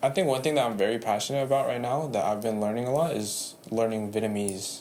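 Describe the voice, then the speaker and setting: A man at a medium pitch with ordinary pitch variation and a very fast pace, amid audible room echo. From San Jose, California. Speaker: barber. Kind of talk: podcast interview.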